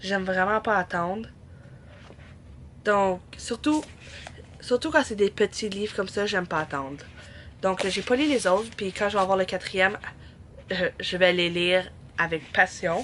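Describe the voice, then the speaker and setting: Speaking in a Quebec accent, a woman uses a medium pitch, a fairly slow pace, ordinary pitch variation and long, frequent pauses. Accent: Québécois French. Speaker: book vlogger. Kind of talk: casual vlog.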